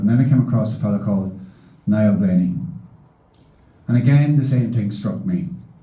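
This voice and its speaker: In a Donegal accent, the speaker moves at a fairly quick pace with ordinary pitch variation, and audible room echo surrounds the voice. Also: man. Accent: Donegal Irish. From Ireland, County Donegal. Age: 60s. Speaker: meeting chairman, journalist. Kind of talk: public meeting chairing and introduction. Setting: hall with large audience. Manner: formal.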